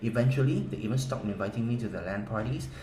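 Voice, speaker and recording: The speech runs at a very fast pace with lively intonation. Audible room echo and noticeable background noise come through. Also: man. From South Korea. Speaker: game strategy guide seller. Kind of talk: sales pitch.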